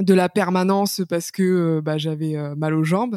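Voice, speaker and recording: A woman speaks at a very slow pace with fairly even intonation and a medium pitch, in a dry, close sound with no echo. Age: 20s. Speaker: patient sharing her illness story, author. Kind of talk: testimony interview. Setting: remote recording.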